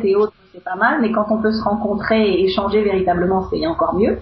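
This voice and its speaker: A woman speaks over noticeable background noise. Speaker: interviewer. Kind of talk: interview question.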